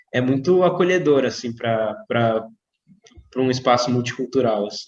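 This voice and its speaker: A man speaks at a medium pitch with ordinary pitch variation and a Brazilian accent. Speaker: doctor and interview host. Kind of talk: interview.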